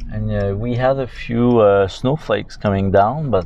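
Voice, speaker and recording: A man speaks with a French Canadian accent. His pace is fairly slow. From Quebec. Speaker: vlogger. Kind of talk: driving vlog narration. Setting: in a car. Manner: halting, many fillers.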